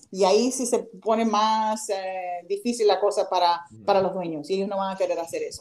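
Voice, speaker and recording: The woman keeps a medium pitch and fairly even intonation as noticeable noise sounds behind her. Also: moderate pace. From Miami, Florida, Cuban-American family. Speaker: baseball players' agent. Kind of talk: casual chat.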